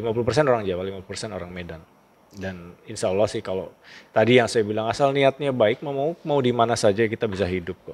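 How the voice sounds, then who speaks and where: A man with a medium pitch talks at a very fast pace, his loudness swinging widely. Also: ordinary pitch variation. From Java, Indonesia (Cirebon area). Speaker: school principal. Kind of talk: interview, personal life story. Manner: casual, animated storytelling.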